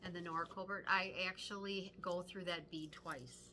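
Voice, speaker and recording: Pitched at a medium level, a woman with a Midwestern accent speaks at a moderate pace in a bright, sharp tone. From Wisconsin, US Midwest. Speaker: cross-stitch video co-host. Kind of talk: casual chat.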